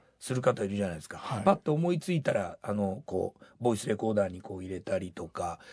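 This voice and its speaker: Lively intonation runs through this man's very fast speech. His pitch sits fairly low and the voice is somewhat breathy. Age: 60s. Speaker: rock band vocalist and songwriter. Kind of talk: interview.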